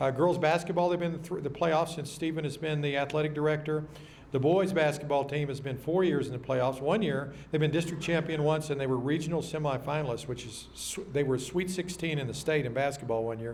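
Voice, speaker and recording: With a Texas accent and a fairly high pitch, a man talks at a fairly quick pace with hardly any pauses amid audible room echo. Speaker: emcee at luncheon. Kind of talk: banquet speech. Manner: fast; animated.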